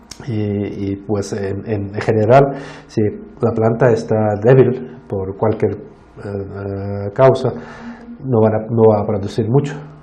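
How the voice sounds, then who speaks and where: A very slow speaker with a non-native accent, pausing long and often. The intonation stays fairly even, and the room echo is audible. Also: man, fairly low pitch for a man. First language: not Spanish (speaking Spanish). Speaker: plant disease scientist. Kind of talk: Q&A after a lecture. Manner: halting, many fillers and restarts.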